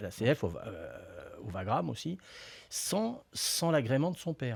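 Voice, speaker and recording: A man speaks with very wide pitch swings, somewhat breathy. The recording is very clean, with a silent background. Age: 60s. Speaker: football pundit. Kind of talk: casual chat. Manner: halting.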